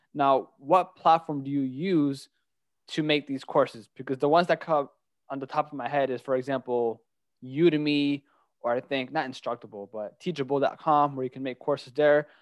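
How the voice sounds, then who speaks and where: A man in an unremarkable speaking voice, fairly high-pitched, speaks at a moderate pace with fairly even intonation in a dry, close sound with no echo and a quiet background. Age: 20s. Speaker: podcast host. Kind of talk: interview.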